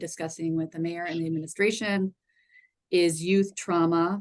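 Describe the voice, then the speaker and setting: A normal speaking voice from a woman, medium in pitch, with fairly even intonation. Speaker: city public art staff presenter. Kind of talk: public meeting presentation.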